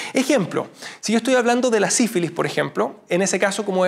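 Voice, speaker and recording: A man with fairly even intonation. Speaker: teacher. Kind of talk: lecture. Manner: halting.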